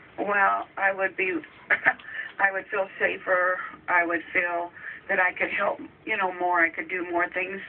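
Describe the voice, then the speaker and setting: Fairly low female voice amid noticeable background noise. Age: 60s. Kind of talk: radio interview answer. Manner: hesitant, halting.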